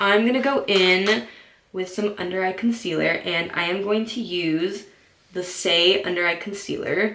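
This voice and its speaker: A woman's medium-pitched voice with fairly even intonation amid noticeable background noise. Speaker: beauty vlogger. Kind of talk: makeup tutorial. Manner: casual, chatty.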